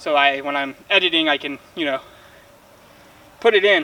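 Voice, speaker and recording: A man is shouting loudly. Noticeable background noise is present. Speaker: bowhunting YouTuber. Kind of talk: casual product review while shooting. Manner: loud, yelling a little for the camera.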